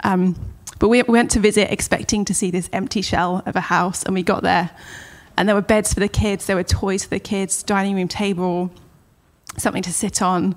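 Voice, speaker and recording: A woman with a medium pitch speaks at a moderate pace. Her intonation is fairly even, in a southern English accent. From Southampton, southern England. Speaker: children's ministry leader. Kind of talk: interview.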